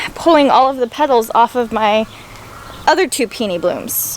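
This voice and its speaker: A high-pitched woman at a moderate pace with lively intonation, amid noticeable background noise. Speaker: homemaking vlogger. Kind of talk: casual vlog talk. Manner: soft-spoken.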